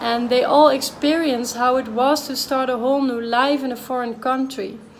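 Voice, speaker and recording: A woman speaks at a moderate pace in a Dutch accent, her pitch high and her intonation monotone and flat. Audible room echo and noticeable background noise can be heard. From Netherlands. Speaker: vlogger. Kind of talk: personal vlog monologue.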